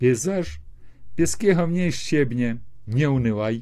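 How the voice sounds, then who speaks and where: Against a quiet background, a man talks very slowly in a dark, mellow tone, his pitch swinging very widely. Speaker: video chat blogger. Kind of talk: casual chat with poetry reading. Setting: video call via chat roulette. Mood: wry, humorous. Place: home room. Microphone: earbuds.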